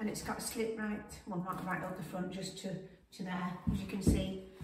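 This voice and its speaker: A woman at a moderate pace with ordinary pitch variation, audible room echo and noticeable background noise. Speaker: fashion vlogger. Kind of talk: casual talk to camera. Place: home room. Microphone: camera far.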